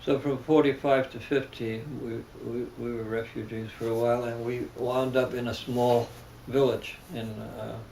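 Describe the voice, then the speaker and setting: A man with a German accent talks at a fairly slow pace in a medium-pitched, flat monotone over noticeable background noise. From Germany, then New York City. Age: 70s. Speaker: religious leader. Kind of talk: interview. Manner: halting.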